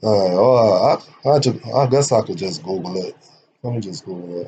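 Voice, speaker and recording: A man speaks with a dark, mellow tone and a fairly low pitch. His voice is somewhat breathy. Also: moderate pace. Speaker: online legal commentator. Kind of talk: lecture. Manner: varying loudness, sometimes raises voice; casual, conversational. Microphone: poor microphone, uneven volume.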